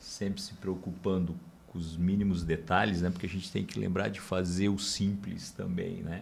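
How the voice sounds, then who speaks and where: A man's very deep, low voice, monotone and flat, at a moderate pace amid audible room echo. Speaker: podcast host. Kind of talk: podcast conversation.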